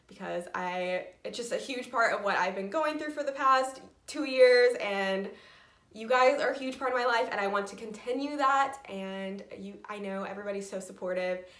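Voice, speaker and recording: In an American accent, a woman with a fairly high pitch and a bright, sharp tone speaks at a fairly quick pace with lively intonation, and room echo can be heard. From Indiana, US Midwest. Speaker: knitting podcaster. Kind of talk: personal vlog update.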